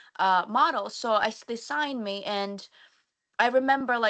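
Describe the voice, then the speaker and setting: Against a quiet background, a woman with a fairly high pitch and a bright, sharp tone speaks with ordinary pitch variation. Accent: non-native. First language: not English. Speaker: model and content creator. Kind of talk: live webinar panel talk. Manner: halting, many restarts and stutters.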